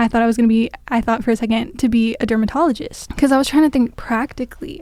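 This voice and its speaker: With an American accent, a woman speaks at a fairly quick pace in a fairly high pitch, her intonation fairly even. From Los Angeles, US. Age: 20s. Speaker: student podcaster. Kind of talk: solo podcast monologue. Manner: casual, filler-heavy.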